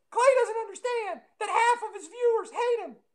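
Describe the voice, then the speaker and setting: This is a put-on character voice at extremely high pitch. The pace is moderate. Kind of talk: casual bro talk. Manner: mocking.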